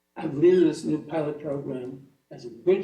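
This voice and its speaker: Audible room echo surrounds a man who talks at a moderate pace with a fairly high pitch. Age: 90s. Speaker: award-winning alumnus. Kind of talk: acceptance speech.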